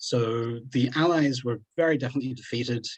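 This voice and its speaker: A man's somewhat breathy, medium-pitched voice at a moderate pace, with ordinary pitch variation. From Australia. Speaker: museum presenter. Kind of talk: presentation. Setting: online video call.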